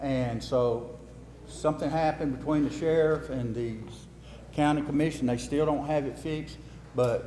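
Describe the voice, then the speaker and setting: A man speaks with an Alabama accent at a moderate pace. His pitch varies in an ordinary way, and there is audible room echo. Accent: Southern US (Alabama). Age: 60s. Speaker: local official at a town meeting. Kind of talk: public meeting talk. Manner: casual, folksy.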